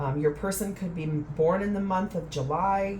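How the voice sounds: Ordinary pitch variation runs through a voice with a slightly mellow tone. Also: woman.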